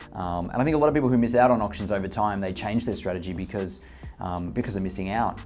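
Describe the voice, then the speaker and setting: With music in the background, a man of fairly low pitch talks very fast with ordinary pitch variation. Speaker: real estate agent and auctioneer. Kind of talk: casual talk to camera, explaining auction bidding tips.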